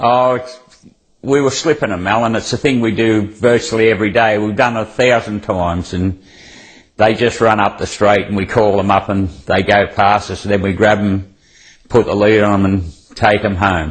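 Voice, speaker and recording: With a strong Australian accent, a man talks at a moderate pace in a fairly low, somewhat breathy voice and fairly even intonation. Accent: broad Australian. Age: 70s. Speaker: greyhound trainer. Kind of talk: TV interview. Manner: halting, casual.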